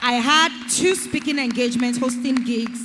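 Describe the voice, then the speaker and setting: Against crowd noise in the background, a woman speaks at a fairly high pitch in an animated tone. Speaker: event host. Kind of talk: panel interview.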